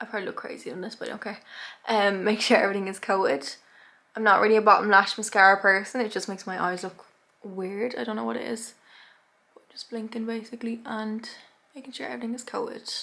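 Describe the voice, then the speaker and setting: Her voice fairly high, a woman speaks at a very fast pace with fairly even intonation and big swings in loudness. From Ireland. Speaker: beauty youtuber. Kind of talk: makeup tutorial. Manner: casual, chatty.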